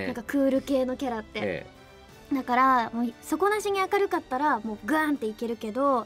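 Fairly quickly, a woman talks in a high-pitched voice. Faint music plays in the background. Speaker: voice actress playing the princess in the anime, radio guest. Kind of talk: radio guest talk about her role, casual conversation. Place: studio.

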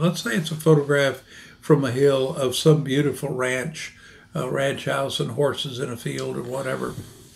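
A somewhat breathy male voice at a moderate pace, with ordinary pitch variation. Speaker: presenter. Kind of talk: interview answer. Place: office. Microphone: podium.

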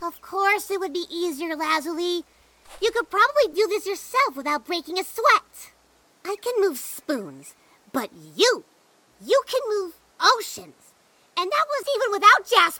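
This cartoonish character voice sits at an extremely high pitch, keeps a moderate pace and leaves long, frequent pauses. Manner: hesitant, stammering.

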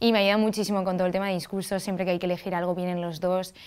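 A woman's voice over a quiet background. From Spain. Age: 20s. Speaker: festival queen; interview guest. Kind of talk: TV interview. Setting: TV studio. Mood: warm, smiling. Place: studio. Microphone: lapel.

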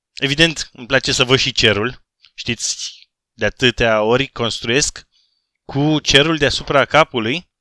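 Recorded very cleanly against a silent background, with a dry, close sound and no echo, a man speaks fairly slowly at a medium pitch in a bright, sharp tone, his loudness swinging widely while his pitch varies in an ordinary way. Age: 30s. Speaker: gaming YouTuber. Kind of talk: casual vlog Q&A. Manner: animated.

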